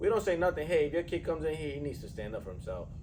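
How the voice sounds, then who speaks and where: A man with a New York accent, heard with audible room echo. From New York City. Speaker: strength coach and podcast host. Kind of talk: casual chat. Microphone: poor audio, mics weren't working.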